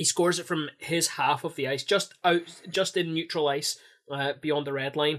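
Here is a man with a plain, everyday voice, fairly high in pitch, at a moderate pace. His intonation stays fairly even, and the background is quiet. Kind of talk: casual podcast banter, a fan's play-by-play retelling of a highlight goal. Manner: punchy, mimicking the scorer's cocky attitude.

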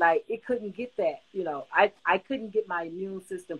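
With an ordinary speaking voice and lively intonation, a woman delivers her words at a moderate pace. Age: 60s. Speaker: covid survivor sharing her story. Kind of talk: testimony.

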